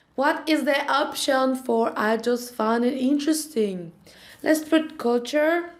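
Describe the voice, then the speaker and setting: In a space with audible room echo, a woman speaks at a high pitch with ordinary pitch variation. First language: Spanish. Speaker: language-learning vlogger. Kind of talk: tutorial.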